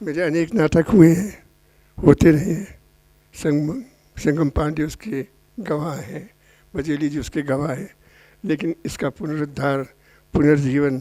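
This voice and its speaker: With a dark, mellow tone, a man talks at fairly high pitch with ordinary pitch variation and long, frequent pauses. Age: 80s+. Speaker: playwright. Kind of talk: post-show speech to audience. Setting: stage with audience. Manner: repetitive, emphatic.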